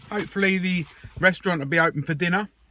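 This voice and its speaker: Recorded with a dry, close sound and no echo, a man with an English accent speaks in a high pitch with a bright, sharp tone and ordinary pitch variation. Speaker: video diarist. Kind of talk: video diary. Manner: whispering.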